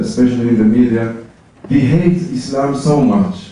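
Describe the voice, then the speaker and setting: A fairly high-pitched man speaks at a fairly slow pace with lively intonation. Noticeable background noise and audible room echo surround him. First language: not English. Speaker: audience member asking a question. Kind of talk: audience question. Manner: halting.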